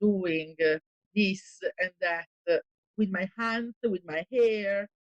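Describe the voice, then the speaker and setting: In an Italian accent, a woman talks at a very slow pace and medium pitch, the sound dry and close with no echo. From Italy. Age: 40s. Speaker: actress. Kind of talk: interview. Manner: hesitant, many fillers.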